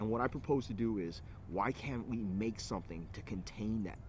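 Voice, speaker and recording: A man speaks with an American accent in a fairly low voice. His pitch varies in an ordinary way. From California (Alameda, near Oakland). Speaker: entrepreneur. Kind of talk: personal pitch to camera. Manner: hesitant, many fillers.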